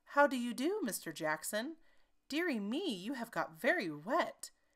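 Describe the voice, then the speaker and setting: A woman does a put-on character voice, high in pitch with very wide pitch swings. She keeps a moderate pace on a very clean recording with a silent background. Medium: read story. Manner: prim, fussy.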